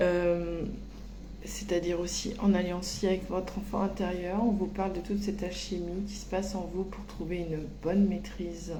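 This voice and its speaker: A woman's voice moves at a fairly slow pace, with audible room echo and noticeable background noise. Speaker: medium giving spiritual guidance. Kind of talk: channeled oracle reading. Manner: very slow; hesitant, many fillers.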